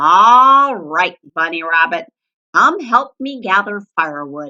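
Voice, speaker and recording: In a put-on character voice, a woman growls in a gruff tone at a medium pitch, swinging very widely in pitch at a fairly slow pace. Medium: read story. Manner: gruff, snarling.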